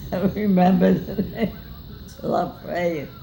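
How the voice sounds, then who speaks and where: A woman's voice over noticeable background noise. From grew up in Europe, Austria. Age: 80s+. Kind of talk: interview answer.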